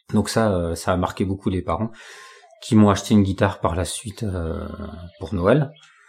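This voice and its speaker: With noticeable background noise, a man speaks at a moderate pace and a fairly low pitch, with ordinary pitch variation and long, frequent pauses. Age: 40s. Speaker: job-seeking carpenter and guitarist. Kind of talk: casual interview.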